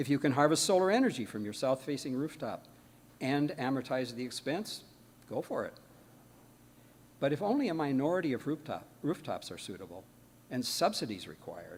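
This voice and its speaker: Speaking at a fairly quick pace with long, frequent pauses, a man uses lively intonation and vocal fry at a fairly high pitch. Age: 80s+. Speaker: guest speaker, engineer. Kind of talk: sermon-style talk.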